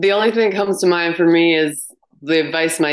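This woman has a western Canadian accent. She speaks at a moderate pace. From Canada, British Columbia and Banff, Alberta. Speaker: retreat owner. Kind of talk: interview.

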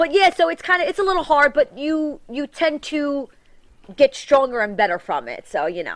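Pitch swings very widely in a strong New York accent, delivered at a moderate pace. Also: woman, high pitch for a woman, big swings in loudness. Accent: thick New York. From New York City, Staten Island. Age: 40s. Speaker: reality TV personality. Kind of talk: casual interview chat. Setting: studio. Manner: loud.

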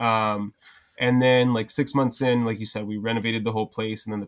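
On a very clean recording with a silent background, a man with an unremarkable speaking voice talks at a fairly quick pace, fairly low in pitch with fairly even intonation. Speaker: social media content creator and bar owner. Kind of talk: casual chat.

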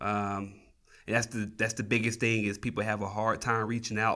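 A man with a Southern US accent, fairly low pitch, a bright, sharp tone, and monotone, flat intonation, in a very clean recording with a silent background. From Tennessee. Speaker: flight paramedic. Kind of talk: interview conversation. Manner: hesitant, many fillers.

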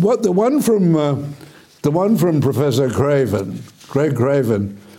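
A man with an Australian accent speaks at a fairly slow pace in a fairly high voice with very wide pitch swings. Room echo is audible, and so is noticeable background noise. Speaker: TV current affairs host. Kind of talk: interview.

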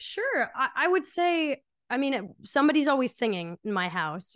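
In a quiet setting, a woman with an American accent talks at a moderate pace, her pitch swinging very widely. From New Jersey, Monmouth County. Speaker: singer-songwriter. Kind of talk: casual interview.

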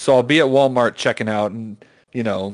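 A man with an unremarkable speaking voice, medium pitch, fairly even intonation and a moderate pace. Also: quiet background. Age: 20s. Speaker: podcast co-host; call center worker. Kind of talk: casual chat.

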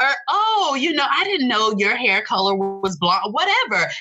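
A woman with an American accent projects a raised voice at a moderate pace, her pitch swinging very widely over noticeable background noise. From Tampa, Florida. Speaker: video strategist and entrepreneur. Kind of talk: casual interview chat.

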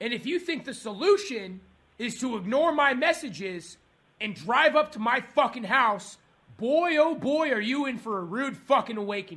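A man shouts in an angry tone at an extremely high pitch, with a bright, sharp edge. His intonation is lively and his pace moderate. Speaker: angry customer. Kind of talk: heated complaint call. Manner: angry, shouting.

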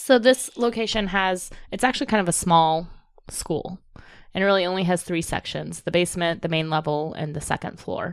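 Speaking at a fairly quick pace, a woman with an American accent has an ordinary speaking voice, fairly low in pitch with ordinary pitch variation. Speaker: podcast co-host, amateur ghost investigator. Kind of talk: casual chat.

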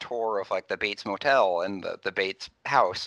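Recorded dry and close with no echo over a quiet background, a man talks at a fairly quick pace. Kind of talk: casual chat.

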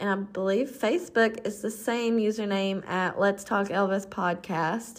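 Speaking at a fairly slow pace, a woman with a Southern US accent shows ordinary pitch variation. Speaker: podcast host. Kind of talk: casual podcast chat.

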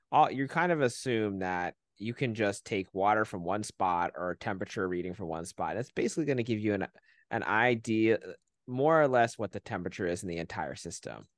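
A plain, everyday voice from a man, fairly low in pitch, with lively intonation and a fairly quick pace, dry and close with no echo against a quiet background. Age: 30s. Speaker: podcast host. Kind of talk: casual educational discussion.

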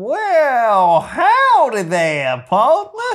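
This put-on character voice sounds female and sits at a fairly high pitch. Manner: folksy, friendly.

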